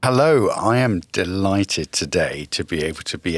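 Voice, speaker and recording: A man with a southern English accent, fairly low pitch, very wide pitch swings and a moderate pace, in a dry, close sound with no echo. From London, West and South London. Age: middle-aged. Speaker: headmaster. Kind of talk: podcast conversation.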